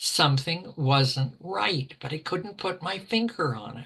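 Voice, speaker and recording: Very slow and very deep, this woman's low voice carries a Canadian Prairies accent. Her pitch swings very widely. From Alberta, Canada (rural Ponoka County). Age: 80s+. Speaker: retired teacher with MS. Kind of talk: interview, personal story. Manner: halting, many fillers.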